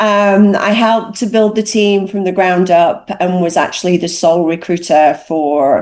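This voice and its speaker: A woman with a British accent talks at a fairly slow pace in a fairly low pitch. Her pitch variation is ordinary, and noticeable background noise can be heard. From northern England, Cheshire. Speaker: recruitment executive. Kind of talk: panel discussion.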